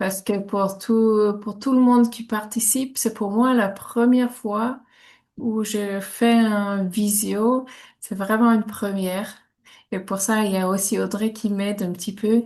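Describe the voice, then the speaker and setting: Over a quiet background, a woman with a Swiss German accent speaks very slowly at a fairly high pitch, somewhat breathy and with monotone, flat intonation. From German-speaking Switzerland. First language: Swiss German (speaking French). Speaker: reflexologist. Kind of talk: online workshop presentation. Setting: video call. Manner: hesitant, many fillers.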